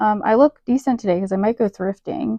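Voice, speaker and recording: The recording is dry and close with no echo, carrying a woman's medium-pitched voice with a dark, mellow tone and ordinary pitch variation. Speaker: podcast host. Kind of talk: casual chat. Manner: fast; animated.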